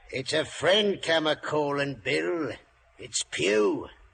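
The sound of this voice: A man slowly performs a put-on character voice with lively intonation. The fairly bright tone carries a slightly husky edge and vocal fry. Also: fairly high pitch for a man.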